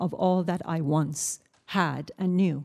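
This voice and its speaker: A woman is speaking. She has a Persian accent. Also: quiet background. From Iran. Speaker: writer and journalist, witness. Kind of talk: prepared testimony at hearing.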